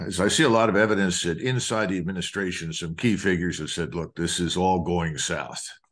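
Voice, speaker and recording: A man's very deep, low pitch with ordinary pitch variation. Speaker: guest military commentator. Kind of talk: interview answer. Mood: serious, critical. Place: home room. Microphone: video call.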